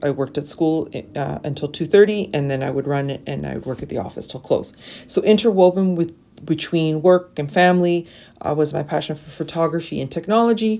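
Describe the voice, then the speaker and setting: A woman with a Canadian accent speaks at a very deep, low pitch in a dark, mellow tone. Her pace is fairly quick, her pitch variation ordinary, and her loudness swings widely. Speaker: teacher. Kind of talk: personal introduction video.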